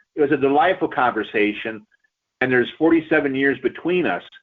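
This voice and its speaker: This is an unremarkable speaking voice. A man talks at a fairly quick pace with a medium pitch and ordinary pitch variation. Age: 60s. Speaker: pastor. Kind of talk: radio interview.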